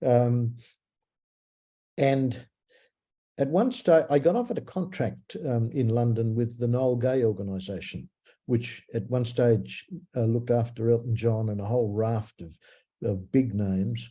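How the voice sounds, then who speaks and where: A man speaks at medium pitch with an Australian accent and ordinary pitch variation, his tone dark and mellow and somewhat breathy. He talks at a fairly slow pace with long, frequent pauses. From Australia (Melbourne). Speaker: singer-songwriter. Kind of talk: interview. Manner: halting, many fillers.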